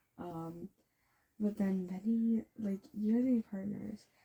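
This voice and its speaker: Somewhat breathy, a woman's voice carries a dark, mellow tone and fairly even intonation. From Canada. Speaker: voice actor, storyteller. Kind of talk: casual storytelling monologue. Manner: rambling, filler-heavy.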